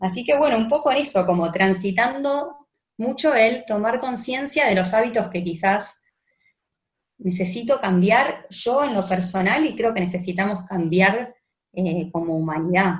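A woman's somewhat breathy voice in an Argentine accent, fairly slow with lively intonation, amid audible room echo. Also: medium pitch for a woman. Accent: Argentine Spanish (Rioplatense). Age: 20s. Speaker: lawyer. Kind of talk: personal testimony in a casual interview.

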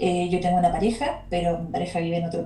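The speaker goes at a fairly quick pace over noticeable background noise, with audible echo from the room. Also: woman. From Chile. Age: 30s. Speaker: English teacher. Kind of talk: casual chat.

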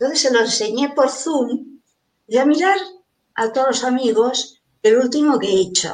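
Her voice sits high in pitch. This woman shows ordinary pitch variation. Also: moderate pace. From Venezuela. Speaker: mandala artist. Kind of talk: interview.

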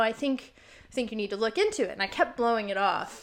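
Lively intonation runs through this voice with an American accent. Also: woman. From Virginia, US South. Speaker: clinical herbalist and shamanic healer. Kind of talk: casual interview.

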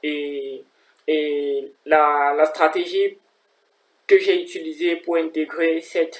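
The man's intonation stays monotone and flat. He talks at a very slow pace. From Cameroon. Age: 20s. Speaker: master's student. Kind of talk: advice talk.

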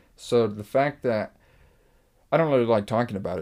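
This man speaks with an American accent and a dark, mellow tone. His pitch varies in an ordinary way. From Los Angeles area, California (Eagle Rock). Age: 20s. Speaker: recording studio founder and producer. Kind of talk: casual interview chat. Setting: recording studio.

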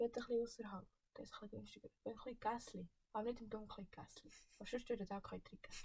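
Speaking at a very fast pace, a woman with a fairly high pitch and a dark, mellow tone keeps her intonation fairly even while her loudness swings widely. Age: 20s. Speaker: podcast guest. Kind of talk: casual chat.

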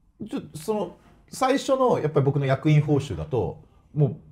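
A somewhat breathy man speaks with a dark, mellow tone. His intonation is lively and his pace moderate. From Ibaraki, Japan. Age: 40s. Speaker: football club president. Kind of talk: casual interview.

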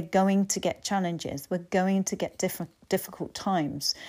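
A woman with an English accent, medium in pitch and dark, mellow in tone, at a moderate pace, in a very clean recording with a silent background. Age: 50s. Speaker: life coach. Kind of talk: solo podcast talk.

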